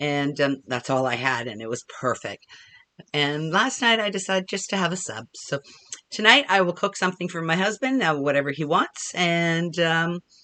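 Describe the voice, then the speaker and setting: With a Canadian accent, a woman with a fairly low pitch and a bright, sharp tone swings her pitch very widely. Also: moderate pace. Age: 60s. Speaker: crochet and knitting vlogger. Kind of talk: casual chat. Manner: hesitant, many fillers.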